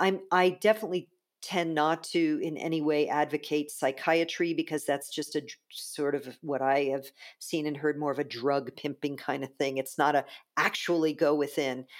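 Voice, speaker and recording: In a very clean recording with a silent background, a woman with an American accent and a very deep, low pitch speaks at a moderate pace with fairly even intonation. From US East Coast. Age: 50s. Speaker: spiritual teacher. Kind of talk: interview conversation.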